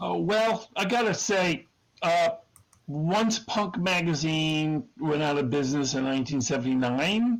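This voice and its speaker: A man with an unremarkable speaking voice and an American accent talks at a fairly slow pace, his fairly high pitch carrying lively intonation at very even loudness. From Connecticut. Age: 60s. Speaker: magazine founder and cartoonist. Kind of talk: interview.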